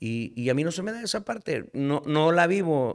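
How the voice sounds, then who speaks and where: With a northern Mexican accent, a man speaks at a fairly high pitch. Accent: northern Mexican (norteño) Spanish. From Nuevo León, Mexico. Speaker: singer-songwriter. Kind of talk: casual chat. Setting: bar.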